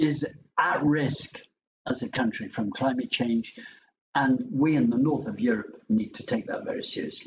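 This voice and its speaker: With a British accent, the voice is somewhat breathy and makes very wide pitch swings. Long pauses come often. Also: man. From England. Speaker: professor. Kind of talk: lecture.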